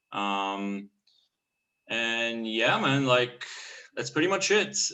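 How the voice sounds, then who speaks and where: With a Bulgarian accent, a man speaks at a medium pitch and a very slow pace, his intonation lively. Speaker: painter and clothing brand artist. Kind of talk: casual interview.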